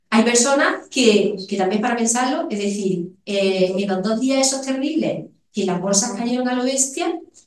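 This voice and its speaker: Audible room echo surrounds a woman speaking at a fairly high pitch. She goes at a fairly slow pace with lively intonation. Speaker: economics professor. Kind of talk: lecture.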